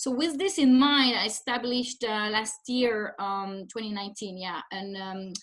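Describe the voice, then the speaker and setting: Speaking at a moderate pace, a woman with a French accent uses a fairly high voice. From France. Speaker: humanitarian development consultant. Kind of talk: webinar presentation. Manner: hesitant with fillers.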